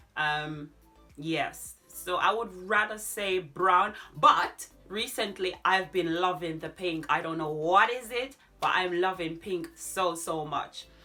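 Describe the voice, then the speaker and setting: With music in the background, a woman speaks at a very slow pace in a medium pitch. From Jamaica, Manchester parish. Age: 30s. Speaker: DIY and decor YouTuber. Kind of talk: casual Q&A vlog.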